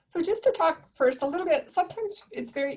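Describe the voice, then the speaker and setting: A soft-spoken woman with lively intonation. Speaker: counsellor leading a webinar. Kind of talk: webinar presentation.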